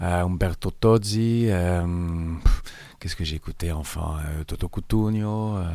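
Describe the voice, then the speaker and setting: In a very clean recording with a silent background, a man speaks at a very slow pace. His pitch is very deep and low, with ordinary variation. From Switzerland, Italian family. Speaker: actor and playwright. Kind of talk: interview. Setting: studio.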